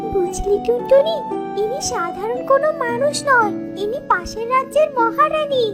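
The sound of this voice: Over loud music in the background, a cartoonish character voice with an extremely high pitch speaks at a moderate pace.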